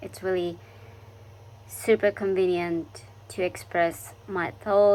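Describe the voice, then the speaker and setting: Speaking very slowly, a woman with a Japanese accent uses lively intonation. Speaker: international student vlogger. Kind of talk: casual vlog monologue. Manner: halting, many fillers.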